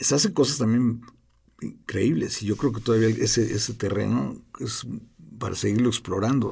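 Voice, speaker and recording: A man speaks at a moderate pace with ordinary pitch variation, a medium pitch, a dark, mellow tone and some vocal fry. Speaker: film director. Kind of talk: interview. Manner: halting, repeats words.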